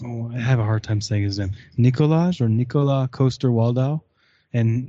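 A man is speaking. His pitch is medium and his pace moderate. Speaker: guest reviewer.

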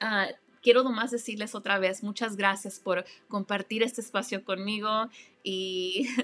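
This woman talks at a moderate pace with a fairly high pitch and a monotone, flat intonation. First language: English (speaking Spanish). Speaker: life coach and podcast host. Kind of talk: motivational monologue. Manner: warm; halting.

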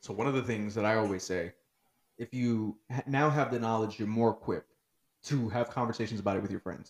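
Using an ordinary speaking voice, a man talks at a fairly quick pace and medium pitch with fairly even intonation. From Newark, New Jersey. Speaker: educator. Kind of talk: casual chat.

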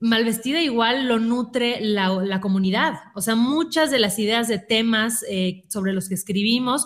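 An animated woman speaks at a fairly high pitch with ordinary pitch variation, in a very clean recording with a silent background. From Mexico, Mérida, Yucatán. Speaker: digital magazine founder. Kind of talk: casual chat.

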